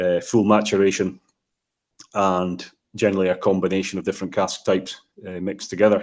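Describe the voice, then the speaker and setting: A man's very deep, low voice with a Scottish accent, monotone and flat, at a fairly quick pace broken by long, frequent pauses. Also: quiet background. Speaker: whiskey distiller. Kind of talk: interview. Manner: halting.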